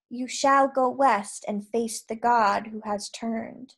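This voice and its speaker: A woman puts on a raspy character voice, fairly high in pitch, speaking at a fairly slow pace. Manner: prophetic, eerie.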